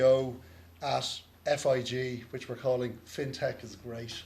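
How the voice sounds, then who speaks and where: A man with an Irish accent sounds somewhat breathy amid audible room echo. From Ireland. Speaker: lawyer moderating a conference panel. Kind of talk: conference panel introduction. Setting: conference stage with audience.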